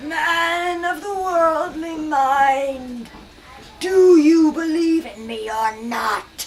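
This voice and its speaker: A woman's put-on character voice, extremely high-pitched, at a very slow pace. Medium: read story. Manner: solemn, ominous.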